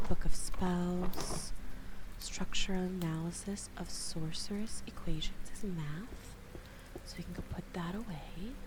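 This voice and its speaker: The speaker is soft-spoken and talks at a fairly slow pace. There is noticeable background noise. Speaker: VTuber streamer. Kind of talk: soft-spoken ASMR gameplay stream.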